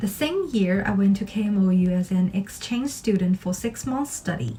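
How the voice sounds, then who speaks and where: In a Chinese accent, a woman speaks at a moderate pace with medium pitch. Her intonation is lively, and there is noticeable background noise. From China, Shanghai. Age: 20s. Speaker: pharmacist and scholarship applicant. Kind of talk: scripted self-introduction. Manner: formal.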